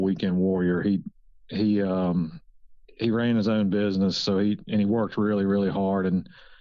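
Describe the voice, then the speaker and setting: A man talks with an American accent. His pitch sits fairly low. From Virginia, US. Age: 50s. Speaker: wildlife biologist, professor. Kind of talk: podcast interview. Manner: halting, many repeated words.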